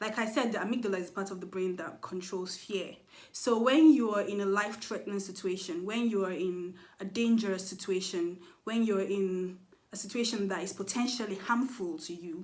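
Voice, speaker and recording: Audible room echo surrounds a woman talking at a fairly quick pace with ordinary pitch variation. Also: medium pitch for a woman. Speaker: mental health vlogger. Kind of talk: educational monologue. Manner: fast.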